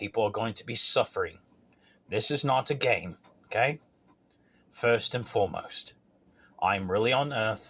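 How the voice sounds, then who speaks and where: There are long, frequent pauses as a man with an Australian accent speaks at a fairly slow pace. The recording is very clean, with a silent background. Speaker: self-proclaimed spiritual messenger vlogger. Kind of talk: monologue rant to camera. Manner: emphatic, repetitive, ranting.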